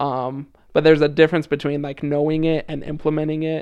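Against a quiet background, a man with a plain, everyday voice and fairly high pitch talks at a moderate pace. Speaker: former missionary, student. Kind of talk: casual interview.

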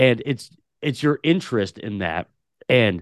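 A man with a West Coast accent speaks at a fairly slow pace with lively intonation. The sound is dry and close, with no echo. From Portland, Oregon. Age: 30s. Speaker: podcast host. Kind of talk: casual interview chat.

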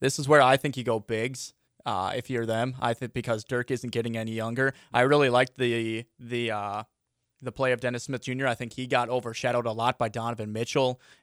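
With an American accent, a man talks at a fairly quick pace in a flat monotone at medium pitch, the sound dry and close with no echo on a very clean recording with a silent background. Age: 20s. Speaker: sports radio host. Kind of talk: casual chat.

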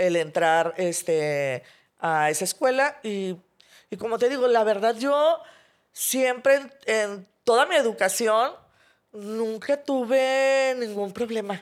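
A woman speaks at a very slow pace and a fairly high pitch, with very wide pitch swings. The recording is very clean, with a silent background. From Mexico, Monterrey. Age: 40s. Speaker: graphic designer and burn survivor. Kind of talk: interview testimony. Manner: hesitant, many fillers.

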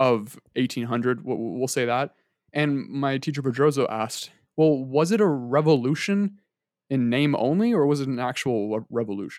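An ordinary speaking voice, with ordinary pitch variation and a moderate pace, comes through a very clean recording over a silent background. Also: man, medium pitch for a man. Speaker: student, podcast co-host. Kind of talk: casual chat.

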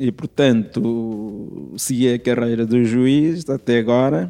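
A man's medium-pitched voice, dark and mellow, at a very slow pace with ordinary pitch variation. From East Timor. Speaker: judge. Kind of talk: interview. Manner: halting, with frequent filler sounds.

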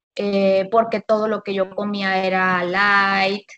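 Her pitch is medium for a woman. She talks at a very slow pace. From Monterrey, Nuevo León, Mexico. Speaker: habits coach. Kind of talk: casual chat. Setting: phone call.

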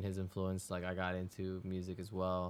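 Over a silent background in a very clean recording, a man talks at a fairly quick pace. His voice is very deep and low, in a Spanish accent. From Florida, West Palm Beach (born Ecuador). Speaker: music producer. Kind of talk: casual interview.

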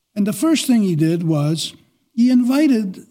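A man with a high pitch speaks in a dark, mellow tone. His pitch swings very widely. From Quebec. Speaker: archbishop. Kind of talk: podcast interview. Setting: studio.

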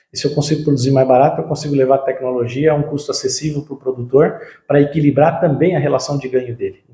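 This man talks at a very fast pace in a fairly high pitch, with fairly even intonation. His tone is dark and mellow, and somewhat breathy. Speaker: agribusiness marketing and R&D director. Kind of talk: interview. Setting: on-site visit at company headquarters.

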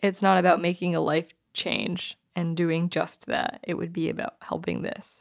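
In an ordinary speaking voice, a woman with a fairly low pitch talks at a fairly slow pace with hardly any pauses and fairly even intonation, on a very clean recording with a silent background. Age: 20s. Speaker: podcast co-host and touring music crew. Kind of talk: casual chat.

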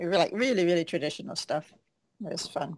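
With lively intonation and a fairly quick pace, a woman uses a normal speaking voice that is fairly low in pitch. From western Canada. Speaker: martial artist and author. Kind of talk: casual interview.

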